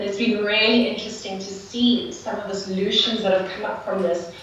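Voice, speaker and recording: Against light background noise and strong room echo, a woman of medium pitch talks at a moderate pace with a South African accent and fairly even intonation. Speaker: non-profit community builder. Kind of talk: panel discussion. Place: hall.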